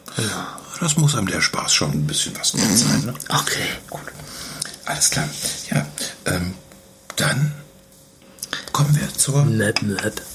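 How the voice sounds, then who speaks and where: A man whispers at a fairly slow pace, with long, frequent pauses. Noticeable background noise can be heard. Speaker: podcast co-host. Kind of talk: casual chat. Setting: caravan on holiday. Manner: quieter than usual.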